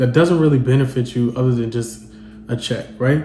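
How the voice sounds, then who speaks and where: Noticeable background noise and audible room echo both surround a man's speech. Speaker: podcast host. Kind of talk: solo podcast monologue. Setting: at home. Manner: casual, conversational.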